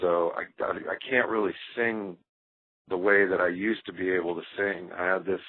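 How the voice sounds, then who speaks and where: A man's very deep, low voice with an American accent, at a moderate pace and with fairly even intonation. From US South. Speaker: rock drummer. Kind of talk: interview. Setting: phone call. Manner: casual, many fillers.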